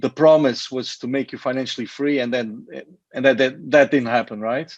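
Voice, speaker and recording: A man with a Portuguese accent talks at a moderate pace against a quiet background. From Portugal. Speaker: network marketing presenter. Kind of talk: sales pitch.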